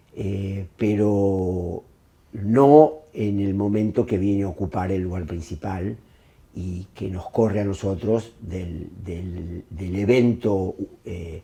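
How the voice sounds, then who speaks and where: Very slowly, a man speaks in a fairly low, dark, mellow, somewhat breathy voice with ordinary pitch variation and big swings in loudness. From Argentina. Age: 60s. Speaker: film director. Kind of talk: interview monologue. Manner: hesitant, many fillers.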